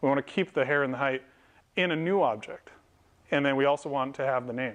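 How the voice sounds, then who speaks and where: Talking at a very fast pace, a man uses a fairly high voice with ordinary pitch variation. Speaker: software developer and meetup speaker; speaker. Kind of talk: technical talk to a live audience. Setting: meetup event with audience. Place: meeting room. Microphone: lapel.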